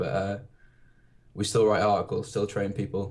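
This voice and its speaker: A man speaks with a British accent at a fairly low pitch. His voice is somewhat breathy. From UK. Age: 20s. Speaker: fitness blogger. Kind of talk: podcast interview. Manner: hesitant, many fillers.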